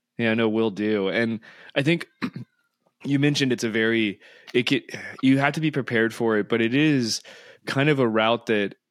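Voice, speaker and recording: At a fairly quick pace, a man speaks in a plain, everyday voice at medium pitch with ordinary pitch variation. The recording is very clean and the background silent. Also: dry, close sound with no echo. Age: 40s. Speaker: podcast host, trail runner. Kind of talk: scripted show announcements; casual interview chat.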